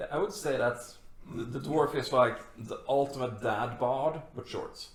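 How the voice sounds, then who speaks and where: A man with a fairly high pitch and ordinary pitch variation, at a fairly slow pace, amid noticeable background noise and audible room echo. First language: not English. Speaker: podcast co-host. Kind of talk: casual chat.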